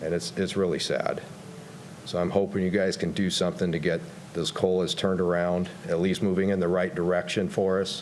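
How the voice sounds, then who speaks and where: Over noticeable background noise and audible room echo, a man with a very deep, low voice talks at a fairly quick pace in a monotone, flat intonation with very even loudness. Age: 60s. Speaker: county road maintenance supervisor giving public comment. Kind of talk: public comment at council meeting.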